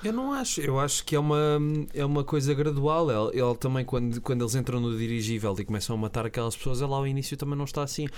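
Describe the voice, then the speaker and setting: A man with a European Portuguese accent talks at a very fast pace in a medium-pitched voice with ordinary pitch variation. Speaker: film podcast co-host. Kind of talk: casual chat.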